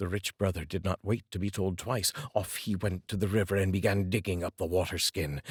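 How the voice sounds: With a husky, rough edge, a man speaks in a low pitch at a moderate pace on a very clean recording with a silent background.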